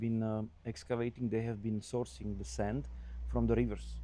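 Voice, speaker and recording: This man has a dark, mellow tone, a fairly low pitch and a non-native accent. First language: not English. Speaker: construction consultant. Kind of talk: casual chat. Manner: halting.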